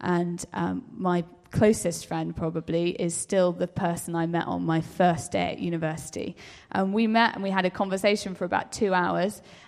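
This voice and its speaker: A woman speaks at a moderate pace with a plain, everyday voice. Her pitch is fairly low, with ordinary pitch variation. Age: 20s. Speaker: civil servant. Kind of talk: panel interview.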